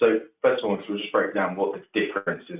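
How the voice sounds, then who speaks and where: A man with an English accent at a very fast pace. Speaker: mortgage adviser. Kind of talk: expert explanation in webinar. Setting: online webinar call.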